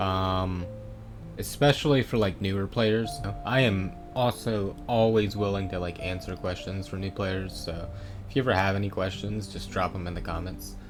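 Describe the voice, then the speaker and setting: Music plays behind a man who speaks with ordinary pitch variation. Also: moderate pace. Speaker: video game streamer / guide maker. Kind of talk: tutorial. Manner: hesitant, many fillers.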